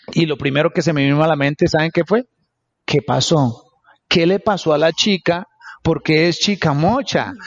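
A man speaks at a moderate pace in an ordinary speaking voice, with a fairly high pitch, ordinary pitch variation and very even loudness. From New York, Queens. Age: 40s. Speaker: entrepreneur. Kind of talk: interview. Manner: code-switching Spanish and English.

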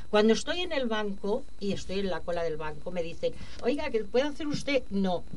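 Over noticeable background noise and audible room echo, a woman with a fairly high pitch makes very wide pitch swings at a moderate pace. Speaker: activist. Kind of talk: radio interview.

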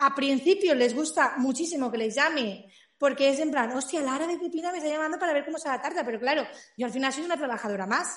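Talking at a very fast pace, a woman speaks in a high pitch with ordinary pitch variation. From Spain, Valencia area. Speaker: small business owner, cake maker. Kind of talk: casual interview.

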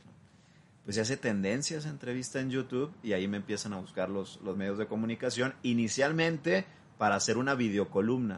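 A man with an unremarkable speaking voice and a medium pitch talks at a fairly quick pace with ordinary pitch variation. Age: 20s. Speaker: journalist and political consultant. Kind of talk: interview.

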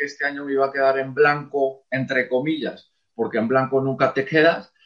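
A man with a fairly high pitch speaks in a monotone, flat intonation. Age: 30s. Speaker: football coach. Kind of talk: interview.

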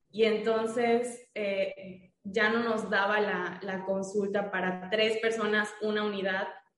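With audible room echo, a woman delivers her words at a very slow pace in a fairly high voice with monotone, flat intonation. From Mérida, Yucatán, Mexico. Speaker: dentist. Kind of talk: casual interview.

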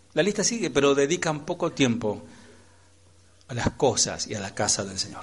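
Somewhat breathy and fairly high-pitched, a man talks at a moderate pace with very wide pitch swings and long, frequent pauses. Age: 40s. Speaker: pastor. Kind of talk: sermon. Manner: animated.

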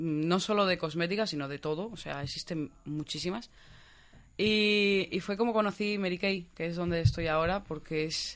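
A woman with a plain, everyday voice speaks at a moderate pace and a fairly low pitch, with ordinary pitch variation against a quiet background. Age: 20s. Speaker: beauty consultant. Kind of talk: casual chat.

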